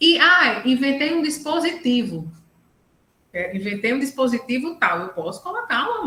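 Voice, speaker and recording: Raised and projected, a woman's high-pitched voice carries a bright, sharp tone and very wide pitch swings at a moderate pace, with audible room echo. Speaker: lawyer specialising in intellectual property. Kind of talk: online lecture. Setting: video call live stream.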